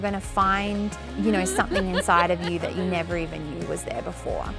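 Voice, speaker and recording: Music plays in the background. Over it, a woman with an Australian accent speaks at a fairly quick pace. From Tasmania, Australia. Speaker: chef. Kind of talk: interview answer.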